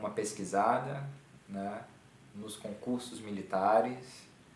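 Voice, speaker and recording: A man is speaking with light background noise. Room echo is audible. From Rio de Janeiro, Brazil (Santa Cruz); Rio de Janeiro. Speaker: clarinet teacher, military band musician; clarinet teacher. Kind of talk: online music workshop lecture. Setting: live online stream. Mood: calm, friendly advice.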